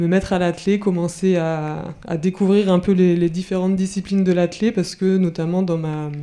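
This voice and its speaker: Hardly pausing, a woman speaks at a medium pitch in a monotone, flat intonation. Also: moderate pace. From France, Brittany (Rennes). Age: 30s. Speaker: professional athlete. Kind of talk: talk to school pupils. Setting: conference hall with audience. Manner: hesitant, many fillers.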